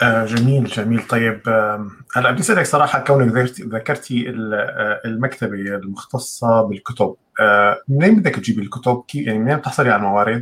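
At a moderate pace, a man talks in a plain, everyday voice with a medium pitch. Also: ordinary pitch variation. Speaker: livestream host. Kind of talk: live interview. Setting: live stream online video call.

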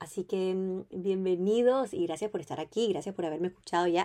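A woman's dark, mellow tone at a medium pitch. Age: 20s. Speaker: podcast host. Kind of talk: casual monologue.

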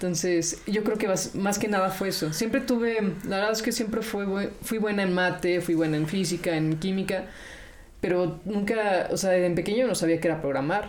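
In a room with audible echo, a woman speaks at a moderate pace and medium pitch, with ordinary pitch variation and very even loudness. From Mexico. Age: 20s. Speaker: robotics engineer. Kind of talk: interview.

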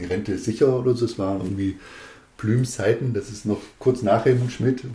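The tone is dark and mellow as a man talks. There is a somewhat breathy edge to it. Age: 40s. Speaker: district administrator candidate, politician. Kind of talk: casual chat.

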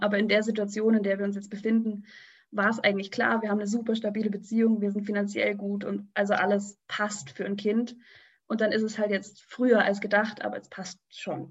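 A woman speaks fairly quickly at medium pitch, somewhat breathy, with monotone, flat intonation. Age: 20s. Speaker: radio trainee, pregnant guest. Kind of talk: casual interview.

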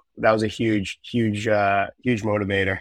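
With an American accent, a man speaks at a fairly slow pace in a fairly low pitch and monotone, flat intonation, against a quiet background. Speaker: college hockey captain. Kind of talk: interview. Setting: video call.

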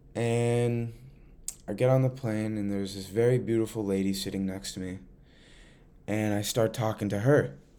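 Someone with an American accent speaks at a moderate pace in a dark, mellow tone. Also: man. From Central Massachusetts. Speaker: podcast host. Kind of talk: casual monologue.

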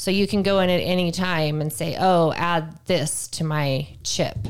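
On a very clean recording with a silent background, a woman with a fairly low pitch has an ordinary speaking voice and ordinary pitch variation. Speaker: podcast co-host. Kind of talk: casual banter.

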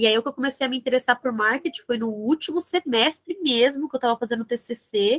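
With hardly any pauses, a woman speaks at a fairly quick pace in a high voice with ordinary pitch variation, the sound dry and close with no echo. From Brazil, São Bernardo do Campo (São Paulo ABC region). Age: 20s. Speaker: fashion marketing entrepreneur and influencer. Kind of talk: interview. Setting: video call.

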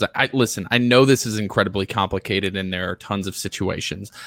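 Speaking at a very fast pace, a man with a fairly low pitch and a bright, sharp tone shows ordinary pitch variation, recorded dry and close with no echo on a very clean recording with a silent background. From Alabama, Birmingham. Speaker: salesman and political activist. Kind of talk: casual chat.

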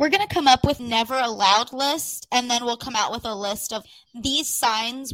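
Using an unremarkable speaking voice, a woman talks at a moderate pace with a fairly high pitch and ordinary pitch variation. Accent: American. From California high desert. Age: 20s. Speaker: podcast co-host. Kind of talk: casual chat.

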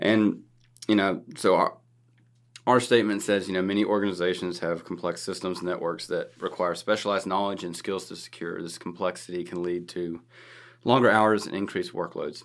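A man's fairly low voice, a normal speaking voice, moves at a fairly quick pace with fairly even intonation on a very clean recording with a silent background. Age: 30s. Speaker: cybersecurity podcast host. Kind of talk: casual chat.

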